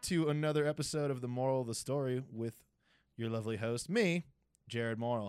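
An unremarkable speaking voice, this man talks at a medium pitch and moderate pace with an American accent and fairly even intonation. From Massachusetts (Cape Cod). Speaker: podcast host. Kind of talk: casual chat. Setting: home recording.

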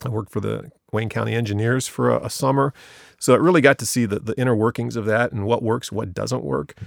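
Very fast speech in an American accent with vocal fry and ordinary pitch variation, on a very clean recording with a silent background. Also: man, medium pitch for a man. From US Midwest, Ohio. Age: 50s. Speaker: village service director, former mayor. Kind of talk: interview.

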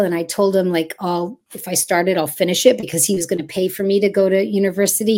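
Speaking at a fairly quick pace, a woman has medium pitch. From Montreal, Quebec (anglophone). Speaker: children's TV host and actress. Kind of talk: casual interview chat. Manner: rambling, chatty.

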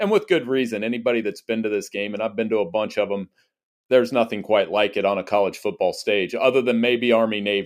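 A man talks very fast in an American accent at a medium pitch. The recording is very clean, with a silent background. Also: fairly even intonation. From Central Ohio. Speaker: college football writer. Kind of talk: interview.

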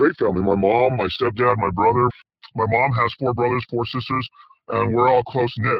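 Here a man talks at a medium pitch and a fairly quick pace. His voice is somewhat breathy. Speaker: author. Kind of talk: interview.

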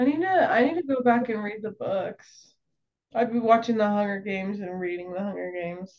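A woman's plain, everyday voice, fairly high in pitch, with lively intonation, big swings in loudness and a fairly quick pace. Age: 20s. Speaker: content creator. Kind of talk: casual chat.

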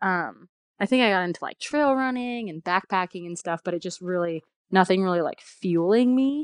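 A woman with a plain, everyday voice talks at a moderate pace and medium pitch, her intonation lively. The sound is dry and close with no echo, over a quiet background. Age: 30s. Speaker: bike industry sales rep. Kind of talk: casual interview chat. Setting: phone call.

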